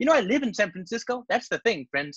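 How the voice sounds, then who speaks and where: Over a quiet background, a man talks in a bright, sharp tone. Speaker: presenter. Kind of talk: conference talk. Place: home room.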